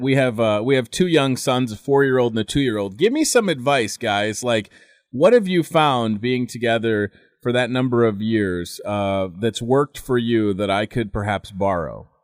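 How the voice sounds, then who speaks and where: On a very clean recording with a silent background, a man with a normal speaking voice talks at a moderate pace, with a medium pitch and ordinary pitch variation. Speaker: morning radio host. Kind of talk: radio interview host.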